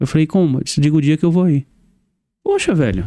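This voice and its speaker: A man talks at a very fast pace with a Maranhão accent. His fairly high pitch has a dark, mellow tone. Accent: Maranhão accent, kept. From Brazil, Sergipe (raised from age five). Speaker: podcast host, interviewed as guest. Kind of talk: interview. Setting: studio. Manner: animated.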